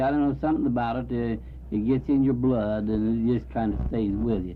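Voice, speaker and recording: With an American accent, a man's voice carries audible room echo. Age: 70s. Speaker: community band musician. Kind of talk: radio interview.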